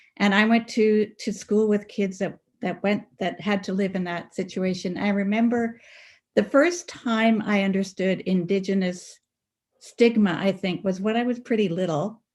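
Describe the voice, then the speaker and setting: A woman with a Canadian accent speaks at a moderate pace, her voice medium in pitch and somewhat breathy. Her intonation stays fairly even. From Canadian Prairies (Brandon, Manitoba). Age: 70s. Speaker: community elder, panelist. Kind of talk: webinar panel talk.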